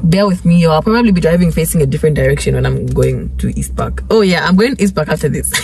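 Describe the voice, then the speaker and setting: The speech runs at a very fast pace with hardly any pauses, dry with no echo over light background noise. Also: woman. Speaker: vlogger. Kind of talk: casual vlog chat. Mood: cheerful, upbeat. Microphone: phone near.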